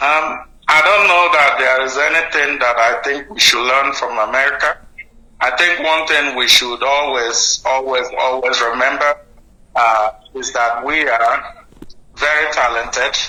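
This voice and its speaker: Someone with a Nigerian accent speaks at a fairly slow pace with ordinary pitch variation over noticeable background noise. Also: man, fairly high pitch for a man. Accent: Nigerian, kept. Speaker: doctor, guest sponsor. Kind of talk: interview. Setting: studio.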